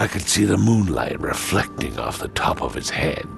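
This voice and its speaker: Clear music plays in the background as a man performs a put-on character voice at a fairly low pitch. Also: moderate pace. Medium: machinima. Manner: blunt, colloquial.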